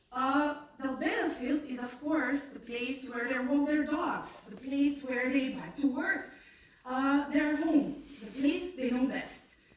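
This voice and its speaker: Noticeable background noise and audible room echo surround a woman speaking at a very slow pace. Her voice is high-pitched, with ordinary pitch variation. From North Macedonia. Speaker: scientist. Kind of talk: pitch presentation.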